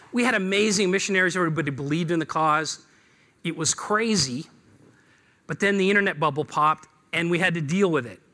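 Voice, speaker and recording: Someone with an American accent talks at a very fast pace. The tone is bright and sharp, with ordinary pitch variation. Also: man, high pitch for a man. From Seattle. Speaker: business speaker. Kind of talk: talk to an audience. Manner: hesitant with fillers.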